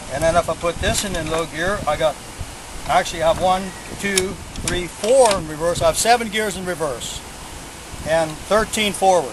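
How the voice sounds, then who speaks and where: Over noticeable background noise, a man speaks at a high pitch with ordinary pitch variation. His pace is moderate, broken by long, frequent pauses. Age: 70s. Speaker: hobbyist tractor builder. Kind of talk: equipment demonstration. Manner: casual, halting.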